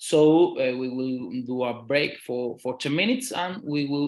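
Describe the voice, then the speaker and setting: With a Spanish accent, a fairly high-pitched man speaks at a fairly slow pace with ordinary pitch variation. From Spain. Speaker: law professor. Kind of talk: lecture. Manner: halting, many fillers and repetitions.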